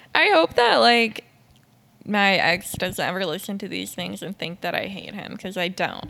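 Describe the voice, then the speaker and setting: A woman's bright, sharp tone carries vocal fry and lively intonation. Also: medium pitch for a woman, moderate pace. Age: 20s. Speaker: podcast co-host and photographer. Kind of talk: casual chat.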